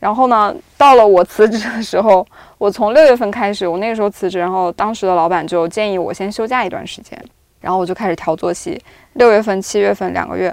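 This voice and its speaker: A woman at a medium pitch speaks at a very fast pace. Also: ordinary pitch variation. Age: 30s. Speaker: video producer. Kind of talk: casual chat.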